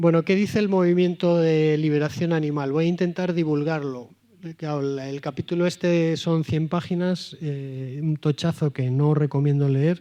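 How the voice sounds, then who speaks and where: A dark, mellow tone in a Valladolid accent, with fairly even intonation. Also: man, fairly high pitch for a man, moderate pace. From Spain, Valladolid. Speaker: priest and moral theologian. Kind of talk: talk to a live audience. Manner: direct.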